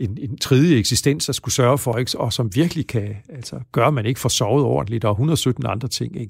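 Vocal fry marks this man's medium-pitched voice on a very clean recording with a silent background. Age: 60s. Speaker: psychology professor. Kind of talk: interview.

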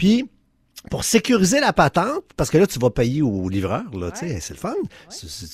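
This man's voice sits fairly high in pitch and moves at a moderate pace. The sound is dry and close, with no echo. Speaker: tech scam expert. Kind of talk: casual chat.

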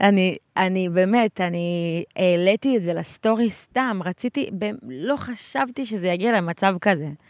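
The recording is very clean, with a silent background and a dry, close sound with no echo. A woman speaks very slowly at a medium pitch with ordinary pitch variation. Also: hardly any pauses. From Israel, Gaza border kibbutz. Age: 20s. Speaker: interviewee, local resident. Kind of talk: interview.

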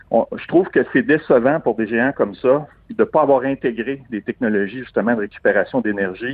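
A man's medium-pitched voice with a Quebec accent. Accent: Québécois French. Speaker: tech entrepreneur. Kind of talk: interview.

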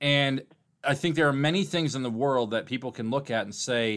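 A man with a normal speaking voice talks at a moderate pace with ordinary pitch variation, recorded very cleanly against a silent background. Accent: American. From Milwaukee, Wisconsin, US Midwest. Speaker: sports podcast host. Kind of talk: casual interview chat.

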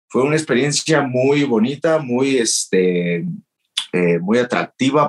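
Very wide pitch swings mark a man's medium-pitched voice, heard in a dry, close sound with no echo. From Mexico. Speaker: professional wrestler. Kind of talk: interview.

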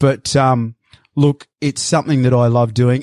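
Moderate pace from a medium-pitched man with an Australian accent, in dry, close sound with no echo. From Sydney, Australia (Bondi Beach). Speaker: cattle station worker. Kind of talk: interview.

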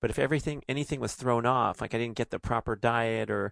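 A man with a Californian accent speaks at medium pitch with vocal fry. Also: dry, close sound with no echo, quiet background. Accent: Californian American. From Los Angeles, US. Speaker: podcast host, author and athlete. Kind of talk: casual chat.

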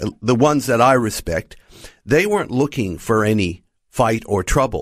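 A man with an American accent talks at a moderate pace, his pitch swinging very widely. The recording is very clean, with a silent background. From United States. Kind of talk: radio interview. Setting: studio.

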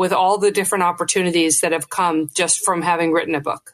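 Against a quiet background, a woman speaks in an unremarkable speaking voice at medium pitch with fairly even intonation. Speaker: author and former investor. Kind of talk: interview.

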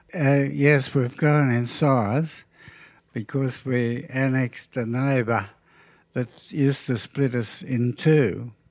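In a rural Australian accent, a man talks at a very slow pace and medium pitch. His intonation is fairly even, and the recording is very clean with a silent background. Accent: broad rural Australian. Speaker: sheep and cattle farmer. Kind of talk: casual interview. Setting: kitchen table at home.

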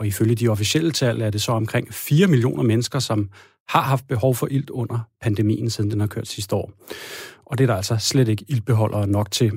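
A man speaks somewhat breathily with ordinary pitch variation. The recording is very clean, with a silent background. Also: medium pitch for a man, moderate pace. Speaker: radio host. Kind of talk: radio magazine presenting.

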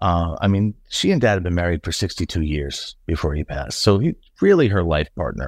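At a fairly quick pace and with lively intonation, the speech comes through on a very clean recording with a silent background. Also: man, very deep, low pitch for a man. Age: 50s. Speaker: son of a late teacher. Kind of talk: interview.

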